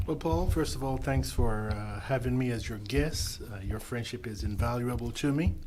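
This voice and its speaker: A man at medium pitch and moderate pace, with audible room echo. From Panama. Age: 60s. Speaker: mentor. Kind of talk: casual chat. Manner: halting, many uh fillers.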